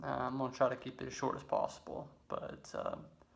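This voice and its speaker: A man with a Mississippi accent talks at a medium pitch. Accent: Southern US (Mississippi). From Laurel, Mississippi. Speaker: raw vegan lifestyle vlogger. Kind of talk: casual personal story to camera.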